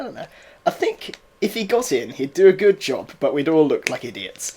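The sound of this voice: A man with a fairly high pitch and big pitch swings speaks at a moderate pace, his tone slightly mellow with a slightly husky edge.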